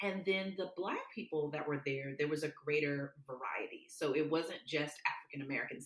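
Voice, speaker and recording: A woman speaks with a Southern US accent in a very deep, low pitch. Noticeable background noise sits behind her. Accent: Southern country. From US South, Mobile, Alabama. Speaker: public speaker. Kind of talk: interview conversation.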